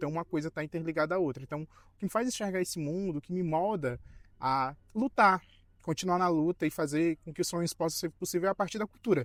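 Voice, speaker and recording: Very fast and high-pitched, a man talks with ordinary pitch variation on a very clean recording with a silent background and a dry, close sound with no echo. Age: 20s. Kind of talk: documentary interview. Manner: halting with fillers.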